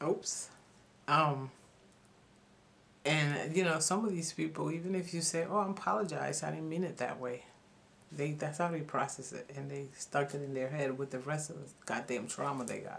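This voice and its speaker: Speaking at a moderate pace with vocal fry, a woman has a very deep, low pitch and ordinary pitch variation. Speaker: YouTuber talking about spirituality. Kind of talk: casual vlog monologue.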